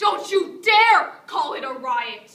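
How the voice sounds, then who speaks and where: Her raised, projected voice is extremely high for a woman, bright and sharp in tone, with very wide pitch swings. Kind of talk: spoken word poetry performance. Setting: live stage performance. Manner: raw, intensely emotional.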